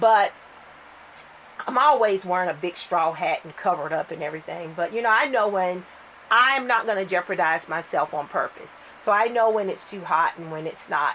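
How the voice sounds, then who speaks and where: A woman at medium pitch with lively intonation and a fairly quick pace, her loudness swinging widely against noticeable background noise. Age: 50s. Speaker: doll collector vlogger. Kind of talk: casual chat. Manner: halting.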